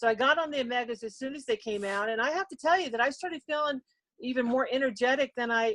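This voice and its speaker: Dry and close with no echo, the recording has a woman speaking in an ordinary speaking voice at a fairly quick pace with ordinary pitch variation. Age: 60s. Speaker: network marketing distributor sharing health story. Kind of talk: testimony.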